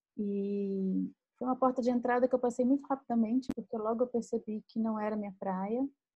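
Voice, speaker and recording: Somewhat breathy, a woman speaks with a fairly high pitch at a moderate pace. Her intonation is fairly even. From Brazil, Minas Gerais. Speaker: writer and podcast co-host. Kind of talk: casual chat.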